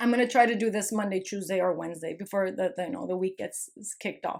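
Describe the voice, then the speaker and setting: A woman with a non-native accent. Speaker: online spiritual content creator. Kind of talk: casual vlog monologue. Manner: animated, repetitive emphatic.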